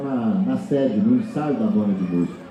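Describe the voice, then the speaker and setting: At a moderate pace and fairly high pitch, a man's voice swings very widely in pitch, with audible room echo and noticeable background noise. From Brazil, Rio de Janeiro state near Minas Gerais border. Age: 60s. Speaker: choro musician and festival organizer. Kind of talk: panel talk. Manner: halting, many repetitions.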